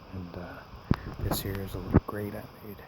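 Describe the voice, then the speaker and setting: A soft-spoken man's fairly low voice in a monotone, flat delivery at a fairly quick pace, with noticeable background noise. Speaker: camping vlogger. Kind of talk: casual vlog narration. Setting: outdoors.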